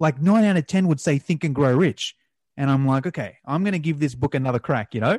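A man with a normal speaking voice, fairly high in pitch, lively intonation and a fairly quick pace, in a dry, close sound with no echo. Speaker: podcast host. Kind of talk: casual interview. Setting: remote call.

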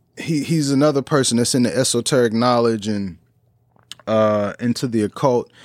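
A man with an American accent and a plain, everyday voice, medium pitch and ordinary pitch variation, in a very clean recording with a silent background and a dry, close sound with no echo. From US Midwest, St. Louis. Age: 30s. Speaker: podcast host and musician. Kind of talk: casual chat.

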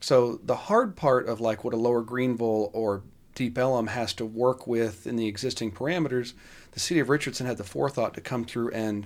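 With an American accent, a man speaks fairly quickly in a normal speaking voice, his medium pitch rising and falling in an ordinary way. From Dallas, Texas. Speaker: construction company executive and property developer. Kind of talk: casual interview. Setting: studio.

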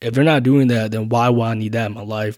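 A man speaks at a medium pitch with a dark, mellow tone and fairly even intonation, recorded very cleanly against a silent background. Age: 20s. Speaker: podcast host. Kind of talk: casual solo monologue. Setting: home, recording late at night. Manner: casual, filler-heavy.

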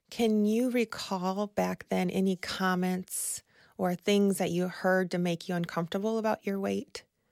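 An ordinary speaking voice from a woman at medium pitch, fairly slow and fairly even in intonation, with a dry, close sound and no echo. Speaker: nutritionist. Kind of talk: casual chat.

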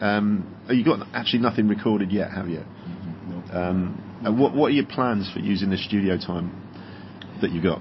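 The voice moves at a moderate pace with ordinary pitch variation, and audible room echo surrounds it. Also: man, fairly low pitch for a man. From England, west of London. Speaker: podcast interviewer. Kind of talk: casual interview.

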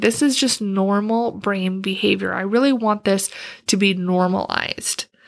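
A woman speaks in an ordinary speaking voice at a medium pitch. Her pace is moderate. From Wisconsin. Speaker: career coach, podcast host. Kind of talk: solo podcast monologue.

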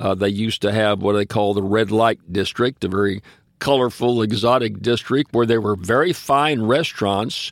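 Someone speaks with a Southern US accent at a moderate pace and with ordinary pitch variation. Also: man. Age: 80s+. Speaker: podcast co-host. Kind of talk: casual chat.

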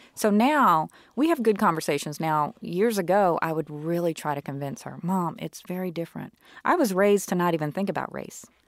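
With an American accent, a woman talks at a fairly quick pace in an unremarkable speaking voice, her pitch fairly low with ordinary variation, on a very clean recording with a silent background. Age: 40s. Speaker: biracial woman sharing her experience. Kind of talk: casual interview.

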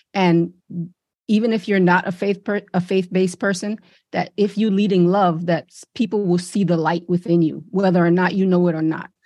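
Against a quiet background, a woman with a medium pitch and a dark, mellow tone speaks at a moderate pace in a monotone, flat intonation, with big swings in loudness. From Brooklyn, New York (born in Saint Lucia). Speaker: business coach. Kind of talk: interview.

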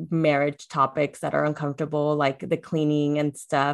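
A woman's very deep, low pitch at a moderate pace against a quiet background. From US, child of Latin American immigrants. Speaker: confidence coach and podcast guest. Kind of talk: casual interview chat.

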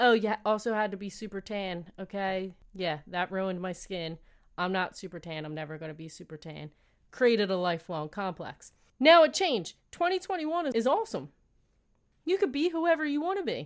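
A woman's animated tone with very wide pitch swings on a very clean recording with a silent background. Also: medium pitch for a woman, moderate pace. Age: 30s. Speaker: podcast host. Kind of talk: solo monologue.

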